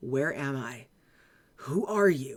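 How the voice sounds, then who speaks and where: In a put-on character voice, the speaker sounds raspy at a low-to-middle pitch. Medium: game stream. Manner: wary, defensive.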